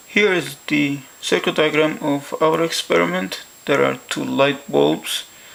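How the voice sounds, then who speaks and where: In a non-native accent, the speaker goes at a fairly slow pace over noticeable background noise. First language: not English; English is a third language. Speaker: science educator. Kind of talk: educational science demonstration.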